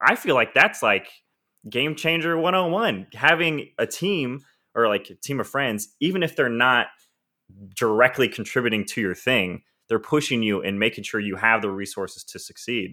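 A man with an ordinary speaking voice talks at a moderate pace, using lively intonation at a medium pitch. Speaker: podcast host. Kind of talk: interview, casual chat.

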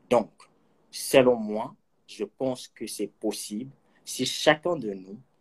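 In a dry, close recording with no echo, a man speaks at a very slow pace. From Kinshasa, DR Congo. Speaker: accountant and film enthusiast. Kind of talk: interview.

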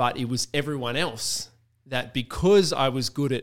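The recording is very clean, and the background is silent. A man talks in an Australian accent, his pitch varying in an ordinary way. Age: 30s. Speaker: musician. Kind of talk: casual chat.

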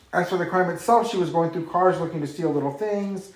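Someone rushes through the words at a very fast pace while noticeable background noise plays underneath. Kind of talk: casual chat.

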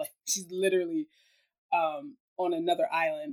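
A woman with an American accent and a plain, everyday voice, medium in pitch, with ordinary pitch variation. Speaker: podcast host, youth summit delegate. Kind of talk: casual chat. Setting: video call.

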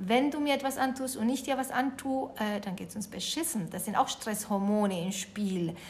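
A woman with a Spanish accent talks at a fairly slow pace with lively intonation. Her voice is somewhat breathy and fairly high. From Uruguay. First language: Spanish (speaking German). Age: 40s. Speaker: yoga teacher and resilience trainer. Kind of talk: interview.

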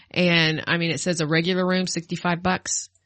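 A woman speaks with a normal speaking voice at a moderate pace. Her pitch is fairly low. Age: 40s. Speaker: podcast co-host. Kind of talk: casual chat.

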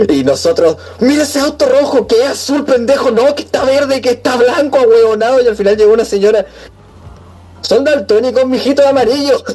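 Noticeable background noise accompanies speech that runs at a fairly quick pace. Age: 20s. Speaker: podcast co-host. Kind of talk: casual chat.

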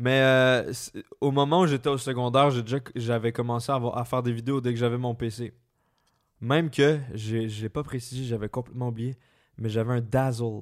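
Speech with a slight Quebec accent and fairly even intonation comes with long, frequent pauses. The recording is very clean, with a silent background. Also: man, medium pitch for a man, moderate pace. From Quebec, Laurentides. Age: 20s. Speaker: YouTuber. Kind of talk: casual chat. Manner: careful articulation.

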